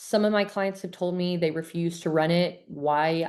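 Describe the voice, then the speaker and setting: Against a quiet background, a woman talks in an ordinary speaking voice at a medium pitch, with ordinary pitch variation and a moderate pace. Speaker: gut health coach. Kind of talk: online webinar presentation. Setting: video call. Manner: casual, filler-heavy.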